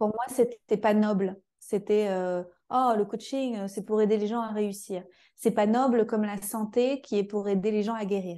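This woman talks at a fairly slow pace in a monotone, flat intonation. Her voice sits fairly high and has a dark, mellow tone. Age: 30s. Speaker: coach and trainer for coaches. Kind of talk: interview.

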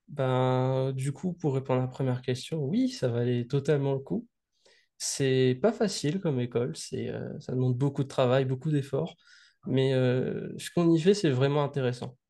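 Against a quiet background, a man with a medium-pitched, dark, mellow tone speaks at a fairly slow pace with ordinary pitch variation. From Réunion. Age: young. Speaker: student and video game developer. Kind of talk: interview.

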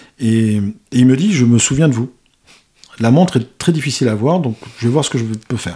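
A man's voice at a medium pitch, dark and mellow in tone, with ordinary pitch variation, a fairly quick pace and long, frequent pauses. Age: 50s. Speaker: watch collector, business owner. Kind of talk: casual chat.

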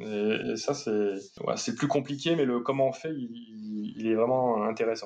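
This man talks at a very slow pace, with a medium pitch and ordinary pitch variation. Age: 30s. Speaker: urban planner and geographer. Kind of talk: interview. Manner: halting.

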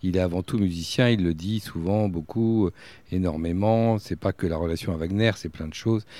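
On a very clean recording with a silent background, a man with a very deep, low pitch and a dark, mellow tone talks at a fairly quick pace with ordinary pitch variation. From France, Berry (Bourges). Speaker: festival director and writer. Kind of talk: casual chat. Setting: outdoors.

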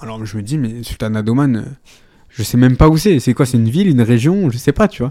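A man talks at a very fast pace in a medium pitch, with ordinary pitch variation. The sound is dry and close with no echo, on a very clean recording with a silent background. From France, Ardèche. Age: 20s. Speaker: amateur footballer. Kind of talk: interview. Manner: hesitant, many fillers.

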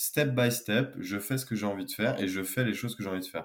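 A man with a normal speaking voice talks at a medium pitch with lively intonation, in a very clean recording with a silent background. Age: 20s. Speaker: engineer and wellbeing founder. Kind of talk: podcast interview.

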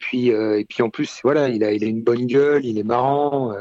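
This man has an ordinary speaking voice at a medium pitch, with fairly even intonation. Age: 30s. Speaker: basketball fan, sports Twitter user. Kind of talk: casual chat.

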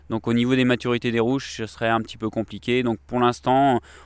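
Intonation from this man stays fairly even. He speaks at a very fast pace. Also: dry, close sound with no echo. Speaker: winemaker. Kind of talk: interview in the vineyard. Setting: outdoors in a vineyard. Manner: halting, many fillers.

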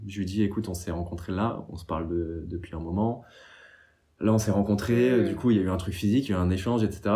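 A man with a dark, mellow tone speaks at a fairly quick pace amid audible room echo. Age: 30s. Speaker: meme account creator. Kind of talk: casual chat.

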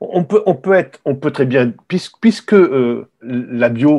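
Very wide pitch swings mark a man's moderately paced speech, with a quiet background. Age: 60s. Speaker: retired wine journalist and author. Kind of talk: interview. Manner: halting, many repetitions.

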